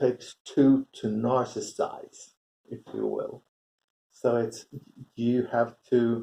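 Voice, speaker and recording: With a Swedish accent, a man speaks at a very slow pace, leaving long, frequent pauses while his loudness swings widely. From Sweden. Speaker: commentary vlogger. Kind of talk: casual monologue. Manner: halting, many fillers.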